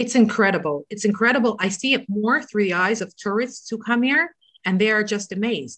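A woman with a normal speaking voice talks at a fairly quick pace and a fairly high pitch. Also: ordinary pitch variation. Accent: Canadian. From Toronto, Canada. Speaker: rebbetzin and religious emissary. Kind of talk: casual interview.

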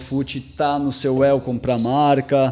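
This man's voice has a dark, mellow tone and sits fairly high in pitch, delivered with monotone, flat intonation. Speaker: skate magazine interviewer. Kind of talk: interview.

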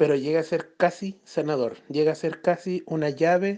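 In a Chilean accent, a man speaks fairly slowly with a high pitch, a dark, mellow tone and fairly even intonation. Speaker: spiritual guidance client. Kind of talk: voice message testimony. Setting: phone voice message. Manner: halting. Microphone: cutting out phone line.

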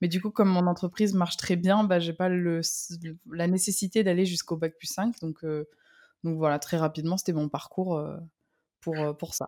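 On a very clean, dry, close recording with a silent background and no echo, a woman with a dark, mellow tone speaks at a moderate pace with fairly even intonation and long, frequent pauses. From southern France. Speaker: copywriter and ghostwriter. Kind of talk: casual interview.

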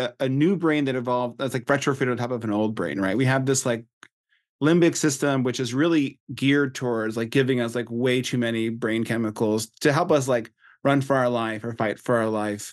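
Against a quiet background, someone with an American accent talks at a fairly quick pace with ordinary pitch variation. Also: man, medium pitch for a man. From Texas. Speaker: psychologist and author. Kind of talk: casual interview conversation. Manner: halting, many fillers and restarts.

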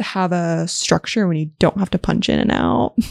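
A woman speaks at a fairly slow pace. The recording is very clean with a silent background and a dry, close sound with no echo. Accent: American. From Las Vegas, US. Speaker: hairstylist. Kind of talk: casual chat.

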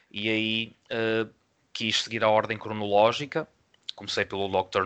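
An ordinary speaking voice is heard at a moderate tempo. The intonation stays fairly even. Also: man. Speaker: film podcast co-host. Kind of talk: casual film review discussion.

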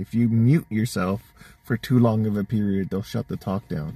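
With a Canadian accent, a man has an ordinary speaking voice of medium pitch at a moderate pace, recorded dry and close with no echo. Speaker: listener sending voice messages. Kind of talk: voice message.

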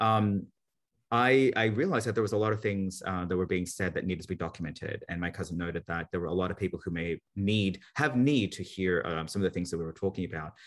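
Very fast, a man speaks with an Australian accent. His pitch is very deep and low, with ordinary variation. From Australia, Sydney (born in Manila, Philippines). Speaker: marketing executive and author. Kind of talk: interview.

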